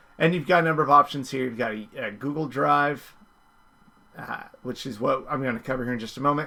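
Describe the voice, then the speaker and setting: This man has a bright, sharp tone and a fairly high pitch. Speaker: teacher. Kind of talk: tutorial. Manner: casual, filler words.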